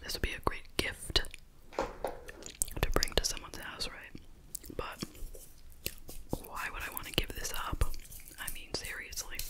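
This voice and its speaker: Soft-spoken whispering at a fairly slow pace, broken by long, frequent pauses, over loud background noise. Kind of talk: casual vlog chat. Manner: soft ASMR whisper.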